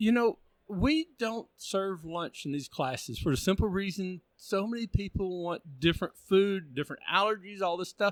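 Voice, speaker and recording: A man with a Texan accent speaks in a high voice with lively intonation. The sound is dry and close, with no echo. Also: moderate pace. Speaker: automotive training organizer. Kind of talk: casual chat.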